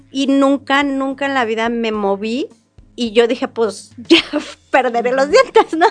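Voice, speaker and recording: Music plays in the background as a woman talks at a fairly slow pace. Her pitch is high, with ordinary variation. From Mexico, Querétaro. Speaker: tourism business owner. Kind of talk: interview.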